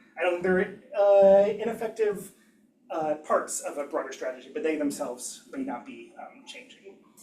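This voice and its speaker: A man's high-pitched, dark, mellow voice carries lively intonation and big swings in loudness. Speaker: engineering education researcher. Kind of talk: academic seminar talk. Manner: fast; hesitant, many fillers.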